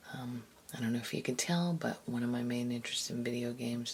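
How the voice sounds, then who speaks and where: A soft-spoken woman's very deep, low voice, fairly quick and lively in intonation, with noticeable background noise. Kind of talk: ASMR soft-spoken commentary.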